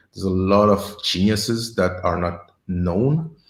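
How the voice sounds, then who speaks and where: A man's very deep, low voice, somewhat breathy, with a slight French accent. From Senegal. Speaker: agile coach. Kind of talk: interview. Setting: live stream. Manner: halting, with repeated words.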